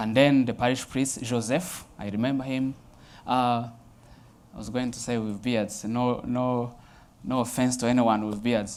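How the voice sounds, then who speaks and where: Speaking at a fairly slow pace, a man with a Rwandan accent holds a medium pitch in a monotone, flat intonation. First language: Kinyarwanda. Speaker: Jesuit priest. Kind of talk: personal testimony talk. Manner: hesitant with frequent fillers.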